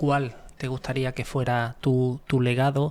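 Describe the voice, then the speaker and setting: Monotone and flat, a man with an Andalusian accent speaks at a medium pitch. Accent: Granada (Andalusian Spanish). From Spain, Granada. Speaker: podcast host. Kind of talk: interview. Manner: halting, repeats words.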